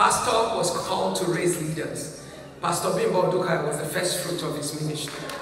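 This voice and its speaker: A woman at fairly low pitch speaks at a moderate pace amid strong room echo and noticeable background noise. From Nigeria. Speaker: pastor. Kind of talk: heartfelt eulogy at a church memorial service. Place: church.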